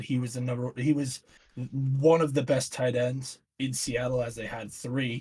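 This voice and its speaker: Monotone and flat in intonation, a man's somewhat breathy, medium-pitched voice moves at a moderate pace. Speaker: podcast host. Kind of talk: casual chat.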